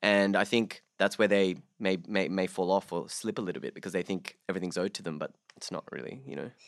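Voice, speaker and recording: A man with an Australian accent talks at a very fast pace in a very deep, low pitch, on a very clean recording with a silent background. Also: ordinary pitch variation, dry, close sound with no echo. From Sydney, Australia (born Bangladesh, moved at six). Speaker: actor. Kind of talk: casual chat.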